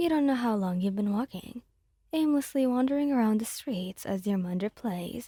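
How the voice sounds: Intonation runs lively. The delivery is a natural reading voice.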